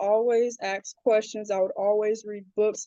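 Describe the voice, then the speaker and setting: Her voice is fairly high-pitched, a woman with a Southern US accent. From South Carolina, Charleston area. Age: 20s. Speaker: social media community creator. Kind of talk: interview.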